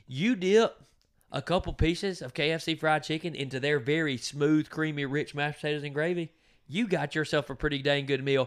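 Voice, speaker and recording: A man with an American accent speaks at a fairly high pitch with ordinary pitch variation, recorded very cleanly against a silent background. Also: fairly quick pace. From US South, southwest Georgia. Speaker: podcast co-host. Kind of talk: casual chat. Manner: animated.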